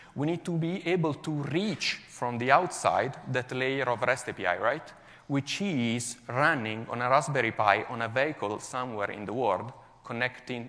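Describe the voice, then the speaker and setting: Speaking with an Italian accent, a man of medium pitch keeps a moderate pace and ordinary pitch variation. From Italy, Milan. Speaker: software developer. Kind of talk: conference talk.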